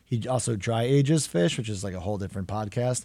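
An ordinary speaking voice from a man, fairly quick pace and ordinary pitch variation, very clean recording with a silent background. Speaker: chef and host. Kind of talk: interview conversation.

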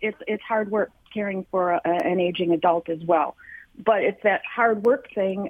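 At a moderate pace, a woman is talking. The variation in her pitch is ordinary. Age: 60s. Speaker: caller, retired preschool teacher. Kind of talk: call-in testimony. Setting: phone call. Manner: halting.

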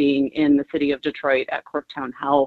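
A woman speaks at a moderate pace. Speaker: nonprofit executive director. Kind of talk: radio interview.

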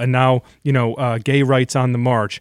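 An unremarkable speaking voice moves at a moderate pace with fairly even intonation, in a very clean recording with a silent background. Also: man. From Michigan, US (Brighton). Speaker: journalist and author. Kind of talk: radio interview.

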